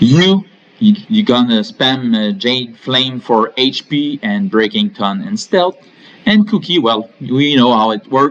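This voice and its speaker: The speaker talks at a very slow pace in a French Canadian accent, with very wide pitch swings. Noticeable background noise runs underneath. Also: man. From Quebec. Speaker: gaming YouTuber. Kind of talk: game tutorial.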